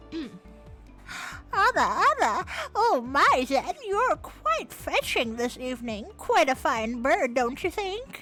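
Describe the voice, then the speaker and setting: Someone puts on a character voice at a very slow pace while clear music plays in the background. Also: female-sounding voice, high pitch for a woman. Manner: flirty, refined, teasing.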